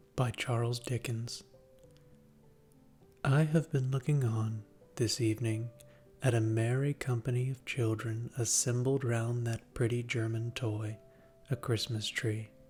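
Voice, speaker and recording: With music in the background, a soft-spoken man at medium pitch talks in a soothing tone, monotone and flat, at a fairly slow pace with long, frequent pauses. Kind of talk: sleep story. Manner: soft-spoken, soothing.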